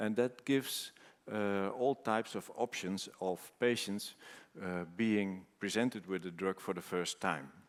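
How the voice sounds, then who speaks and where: Pitch varies in an ordinary way as the voice moves at a fairly slow pace. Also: man, fairly low pitch for a man. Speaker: cancer researcher presenting at a conference. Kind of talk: conference presentation. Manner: halting with many fillers.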